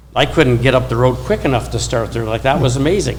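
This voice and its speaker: Over noticeable background noise and audible room echo, a man talks at a medium pitch with fairly even intonation. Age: 60s. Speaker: plumbing consultant on a panel. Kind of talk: panel discussion.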